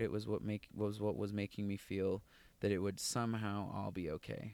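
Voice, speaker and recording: On a very clean recording with a silent background, a man with a plain, everyday voice and fairly low pitch speaks at a moderate pace. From US West, Las Vegas. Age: 20s. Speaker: software professional. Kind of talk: interview, personal testimony.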